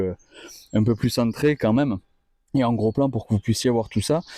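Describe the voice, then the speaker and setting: A man speaks in a dark, mellow tone. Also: dry, close sound with no echo. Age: 30s. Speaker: car workshop presenter. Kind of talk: video presentation of a car. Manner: hesitant, many fillers.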